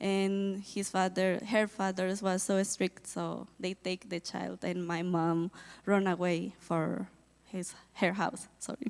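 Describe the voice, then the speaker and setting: Very slow and flat in a monotone, a woman with a Colombian accent speaks at a medium pitch in a very clean recording with a silent background. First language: Spanish. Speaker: missionary volunteer. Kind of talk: testimony. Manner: halting.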